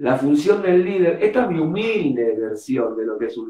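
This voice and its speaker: A man at a moderate pace, very wide pitch swings, and audible room echo. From Argentina, Buenos Aires. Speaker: rock drummer. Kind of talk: casual interview. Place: home room. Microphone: video call.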